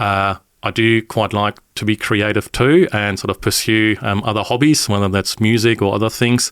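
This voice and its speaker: Speaking at a moderate pace, a man with a German accent has a fairly low pitch. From northern Germany. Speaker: engineering team leader. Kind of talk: podcast interview. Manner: hesitant, many fillers.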